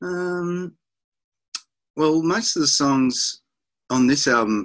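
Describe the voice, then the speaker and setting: A man with an Australian accent at a fairly slow pace against a quiet background. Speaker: rock musician; interviewee. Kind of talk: interview. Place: home room. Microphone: webcam.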